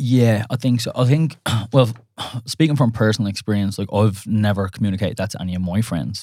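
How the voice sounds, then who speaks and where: Recorded very cleanly against a silent background, a man with an Irish accent speaks at a fairly quick pace. His voice is fairly low, dark and mellow, with ordinary pitch variation. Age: 30s. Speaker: dating podcast co-host. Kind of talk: casual chat. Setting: studio.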